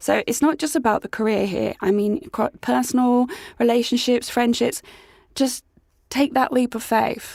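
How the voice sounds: With a dramatic tone and vocal fry, a woman speaks at a fairly high pitch and a moderate pace.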